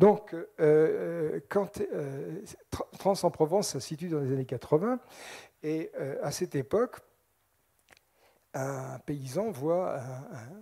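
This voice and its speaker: This man's voice sits fairly high and has a dark, mellow tone. His intonation is lively. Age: 60s. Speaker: scientist lecturer on UFOs. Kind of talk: public lecture. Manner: animated.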